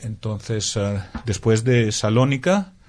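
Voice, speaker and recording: A man with a Greek accent speaks at a fairly low pitch with fairly even intonation. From Greece (Crete, Athens). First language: Greek (speaking Spanish). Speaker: translator. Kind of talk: interview. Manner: halting.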